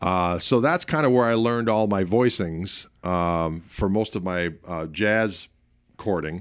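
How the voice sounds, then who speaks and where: In an ordinary speaking voice, a man talks at a fairly slow pace and a fairly low pitch with ordinary pitch variation, on a very clean recording with a silent background. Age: 50s. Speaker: guitarist. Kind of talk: interview.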